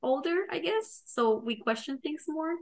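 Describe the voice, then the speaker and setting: A woman with lively intonation over a quiet background. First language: not English. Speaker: podcast co-host, product manager. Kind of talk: casual chat.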